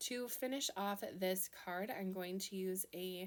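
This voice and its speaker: The speaker has a Minnesota accent. Pitch variation is ordinary. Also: woman. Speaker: card-making crafter. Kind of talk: tutorial. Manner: casual, chatty.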